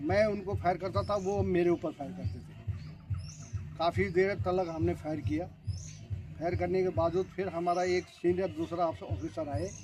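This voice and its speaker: A man's intonation is lively, with music playing behind him. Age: 80s+. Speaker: retired border force soldier. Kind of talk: interview testimony.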